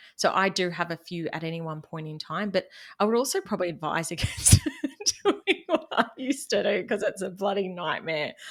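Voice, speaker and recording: A woman with a Queensland accent speaks fairly quickly at a medium pitch, her intonation lively and her loudness swinging widely. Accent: Queensland Australian. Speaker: business podcaster and money mentor. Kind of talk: casual interview chat.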